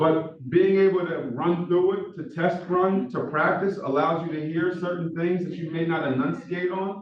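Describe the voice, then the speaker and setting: A man with a Philadelphia accent talks at a moderate pace with a high pitch, fairly even intonation and hardly any pauses. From Philadelphia, US. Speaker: professor. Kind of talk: lecture. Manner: monotone.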